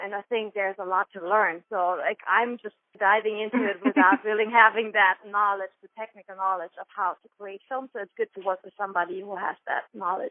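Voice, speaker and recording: With a German accent, a woman at a medium pitch talks at a fairly quick pace with hardly any pauses, her intonation fairly even and her loudness swinging widely. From Germany. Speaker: dancer, choreographer. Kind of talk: interview answer.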